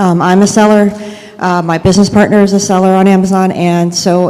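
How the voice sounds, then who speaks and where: A woman speaks at a moderate pace in monotone, flat intonation. Audible room echo and noticeable background noise surround her voice. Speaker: Amazon seller advocate, consultant. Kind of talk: conference presentation. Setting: stage with audience. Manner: many filler ums.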